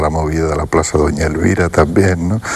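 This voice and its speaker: Noticeable background noise runs through the clip. The speaker's intonation is fairly even. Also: man. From Andalusia, Spain (Utrera, Seville). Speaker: Zen Buddhist teacher. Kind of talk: TV interview.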